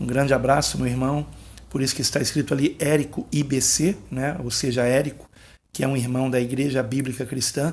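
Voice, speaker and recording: Soft-spoken and somewhat breathy, a man talks at a fairly quick pace in a medium pitch with monotone, flat intonation. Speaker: pastor. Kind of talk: bible teaching monologue. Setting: at home, late at night.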